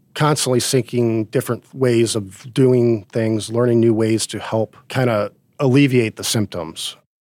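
This is a man speaking at a medium pitch. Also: dry, close sound with no echo. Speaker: Iraq war veteran and chief technology officer. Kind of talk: casual interview chat.

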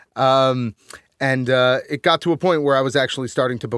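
A man with a Northeastern US accent speaks at medium pitch and a moderate pace, his intonation fairly even. The recording is very clean with a silent background and a dry, close sound with no echo. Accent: American Northeast. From Connecticut. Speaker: musician and audio engineer. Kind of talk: casual interview. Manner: halting, many fillers.

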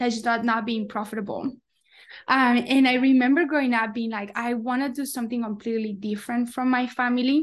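Against a quiet background, a woman speaks at a high pitch with a Spanish accent. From Colombia. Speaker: coffee company founder. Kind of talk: interview.

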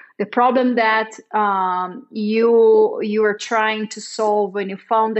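Her pitch fairly high, a woman with a Portuguese accent speaks at a very slow pace in a monotone, flat intonation. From Brazil. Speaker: marketing director, interviewer. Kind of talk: interview. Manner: hesitant, many fillers.

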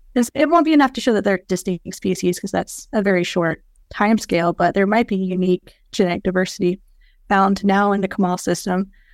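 In a normal speaking voice with an American accent, a woman talks at a fairly quick pace and a medium pitch, the sound dry and close with no echo. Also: ordinary pitch variation. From US South, Georgia. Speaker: geneticist and researcher. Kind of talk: casual interview.

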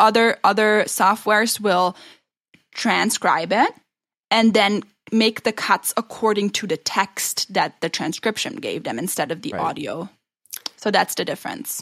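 A woman at a fairly slow pace with ordinary pitch variation, in a very clean recording with a silent background and a dry, close sound with no echo. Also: fairly high pitch for a woman. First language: not English. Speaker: podcast co-host. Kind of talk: casual chat.

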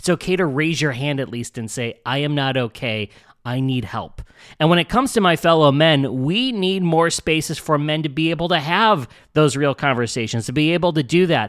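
In a very clean recording with a silent background, a man speaks at a moderate pace with an ordinary speaking voice, fairly high in pitch. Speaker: podcast host. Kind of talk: podcast intro and interview.

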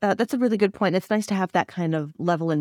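Over a silent background in a very clean recording, a woman talks at a very fast pace with fairly even intonation and a dry, close sound with no echo. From Canada. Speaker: podcast host. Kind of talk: interview.

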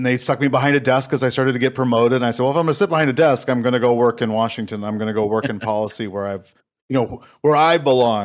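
Someone with a Minnesota accent speaks at a very fast pace with ordinary pitch variation, in a very clean recording with a silent background. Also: man, medium pitch for a man. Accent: Upper Midwest (Minnesota) American. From Minnesota, Saint Paul. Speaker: government relations consultant, former Marine. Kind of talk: casual interview.

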